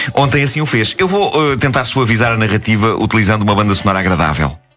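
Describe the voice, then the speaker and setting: Speaking very fast at a medium pitch, a man keeps his loudness very even and his intonation lively. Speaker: radio host. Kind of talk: humorous radio storytelling.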